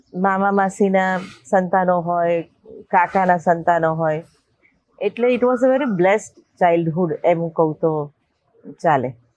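A normal speaking voice, this woman's fairly low pitch shows ordinary variation while her loudness stays very even. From Ahmedabad, Gujarat, India. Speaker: film producer. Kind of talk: interview.

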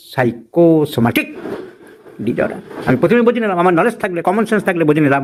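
A man is heard talking. His pitch swings very widely. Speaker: senior homeopathic doctor. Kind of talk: teaching demonstration with patient.

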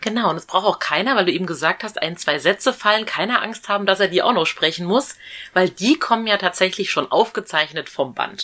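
Over a quiet background, a woman speaks at a fairly quick pace with lively intonation. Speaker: podcast host, reporter. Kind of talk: interview questions.

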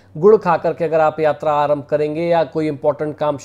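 The man's voice has a dark, mellow tone. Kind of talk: daily horoscope and remedies talk. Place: home room.

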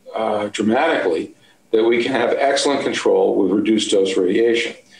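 Audible room echo around a man speaking. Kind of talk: interview answer. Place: office. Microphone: webcam.

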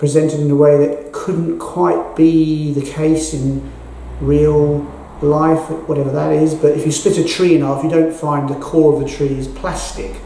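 In a London accent, a man talks at a fairly slow pace. Audible room echo and light background noise surround him. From England, North London. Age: 60s. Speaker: artist. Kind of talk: interview monologue about his art exhibition. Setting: at the gallery exhibition. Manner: halting, with frequent ums. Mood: calm, reflective. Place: hall.

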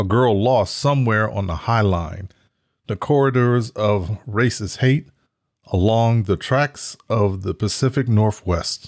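A man with a normal speaking voice and fairly low pitch talks at a fairly slow pace, with ordinary pitch variation. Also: very clean recording, silent background. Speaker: video host and book promoter. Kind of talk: reading aloud a noir book blurb. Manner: measured and formal.

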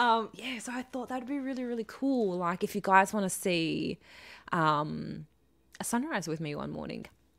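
Against a quiet background, a woman with an Australian accent talks fairly slowly with lively intonation. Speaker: live streamer. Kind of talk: casual live stream chat. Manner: chatty, rambling, lots of fillers. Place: home room. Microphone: studio mic.

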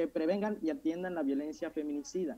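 This man's pitch sits high. His tone is dark and mellow. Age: 20s. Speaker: youth parliament candidate; candidate. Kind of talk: formal speech; formal speech presentation. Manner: halting, with self-corrections. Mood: earnest, slightly nervous. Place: home room. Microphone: earbuds.

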